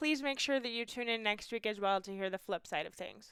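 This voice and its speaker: The woman has a bright, sharp tone and ordinary pitch variation. She talks at a fairly quick pace, and the sound is dry and close with no echo. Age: young. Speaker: podcast co-host. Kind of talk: casual podcast chat.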